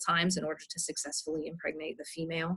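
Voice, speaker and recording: Her voice is fairly low for a woman and somewhat breathy, moving at a fairly quick pace. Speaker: professor. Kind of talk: lecture. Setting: outdoors. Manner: soft-spoken.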